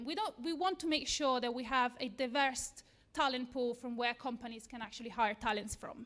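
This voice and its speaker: A woman with an Italian accent speaks at a high pitch. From Italy. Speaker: software engineer. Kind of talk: lightning talk. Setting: stage with audience.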